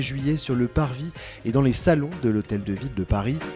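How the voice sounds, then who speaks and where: A man talks at a medium pitch and a moderate pace with lively intonation. Music plays in the background. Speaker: podcast host. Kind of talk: podcast intro.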